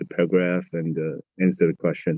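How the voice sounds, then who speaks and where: In a Chinese accent, a man speaks fairly slowly at a very deep, low pitch with a dark, mellow tone and monotone, flat intonation, the sound dry and close with no echo. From Taiwan. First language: Mandarin Chinese. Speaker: college student. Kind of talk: interview. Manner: halting.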